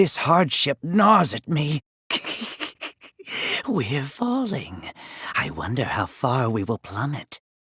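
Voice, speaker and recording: Delivered at a fairly slow pace, this voice is a put-on character. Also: man. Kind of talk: video game character voice lines. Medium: dub. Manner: measured, formal, slow.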